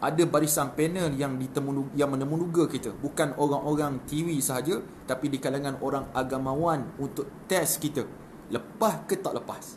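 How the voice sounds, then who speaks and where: A man with a fairly high pitch and ordinary pitch variation speaks at a fairly quick pace over light background noise. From Malaysia. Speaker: religious preacher. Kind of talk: live-stream talk. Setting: live stream. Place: home room. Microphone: phone near.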